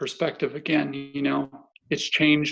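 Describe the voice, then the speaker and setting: At a fairly slow pace, a man speaks with a fairly high pitch. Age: 30s. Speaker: para athlete and former commando. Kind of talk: interview.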